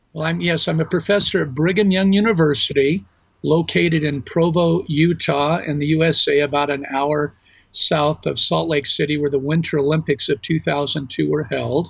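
A man's fairly high, somewhat breathy voice with an American accent, fairly even in intonation, at a moderate pace. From US West Coast, Los Angeles. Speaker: religion professor. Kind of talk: interview.

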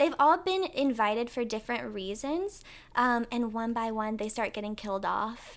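In an American accent, a woman speaks with a plain, everyday voice. Her pitch is fairly high and her intonation lively. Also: moderate pace. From North Carolina, Winston-Salem. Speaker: actress. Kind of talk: casual chat. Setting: sunroom at her home.

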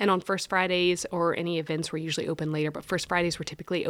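Heard in a dry, close sound with no echo, a woman speaks with monotone, flat intonation. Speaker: gallery director. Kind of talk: casual interview.

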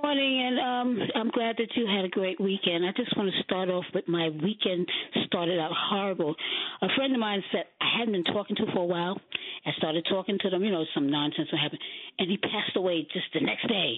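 A woman talks at a fairly quick pace with lively intonation and a medium pitch. Noticeable background noise can be heard. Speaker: radio caller. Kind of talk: call-in talk radio. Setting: phone call.

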